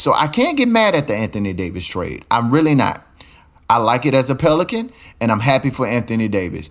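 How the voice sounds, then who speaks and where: A man with an American accent, animated tone, lively intonation, vocal fry and a fairly quick pace. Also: medium pitch for a man. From Louisiana, Baton Rouge. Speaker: podcast host. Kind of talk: casual monologue.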